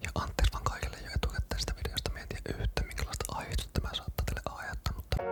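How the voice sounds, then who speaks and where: A whispering man at a very fast pace, hardly any pauses, music in the background. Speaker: entrepreneur. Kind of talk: ASMR whisper video. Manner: whispered.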